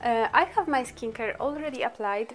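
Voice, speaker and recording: There is music in the background as a woman speaks in a Polish accent. Her pitch is high, with ordinary pitch variation. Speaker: beauty vlogger. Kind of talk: makeup tutorial. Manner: halting.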